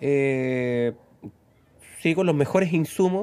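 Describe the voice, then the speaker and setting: In a Chilean accent, a man with a fairly high pitch speaks at a fairly slow pace with lively intonation. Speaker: mechanic, podcast co-host. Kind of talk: casual chat.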